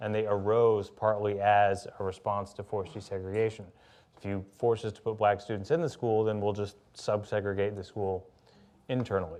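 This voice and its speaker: With an American accent, a man speaks in a normal speaking voice at a moderate pace, his pitch fairly low and his intonation fairly even, while his loudness swings widely. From US South, Louisiana and Birmingham, Alabama. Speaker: author. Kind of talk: public conversation.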